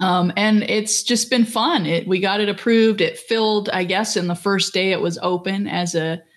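In a very clean recording with a silent background, a woman with an unremarkable speaking voice and medium pitch talks at a moderate pace with fairly even intonation. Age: 50s. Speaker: former reality show contestant, professor. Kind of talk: casual chat.

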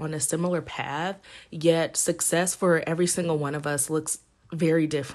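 In an American accent, a woman with a normal speaking voice talks at a moderate pace with a fairly low pitch and fairly even intonation, against a quiet background. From Indiana. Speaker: podcast host and entrepreneur. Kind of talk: personal storytelling monologue. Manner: conversational with fillers.

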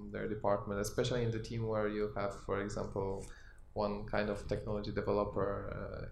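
Speaking with a Polish accent, a man keeps a fairly quick pace. Room echo can be heard. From Poland. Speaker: podcast host, communication specialist. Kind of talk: panel discussion. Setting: live recording at company event.

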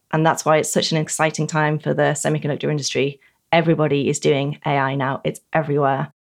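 With a British accent, a woman speaks very fast in a very deep, low pitch with vocal fry, flat monotone intonation and very even loudness, in a very clean recording with a silent background. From Britain. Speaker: technology journalist. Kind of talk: interview.

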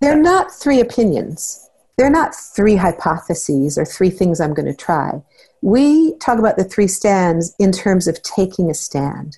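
A somewhat breathy, dark and mellow woman's voice of medium pitch, at a fairly slow pace with very wide pitch swings, over a quiet background. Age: 60s. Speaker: parenting therapist and trainer. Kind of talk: interview.

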